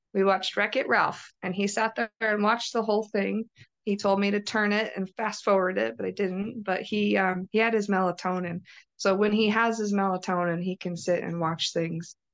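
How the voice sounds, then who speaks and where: Over a quiet background, a woman at medium pitch talks in a plain, everyday voice at a moderate pace with fairly even intonation. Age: 30s. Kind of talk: interview testimony.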